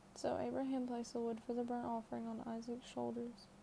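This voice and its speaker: A soft-spoken woman talks at a fairly quick pace in a fairly high, flat monotone. Noticeable background noise sits behind her. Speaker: ASMR content creator. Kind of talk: ASMR Bible reading. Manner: soft-spoken, quiet.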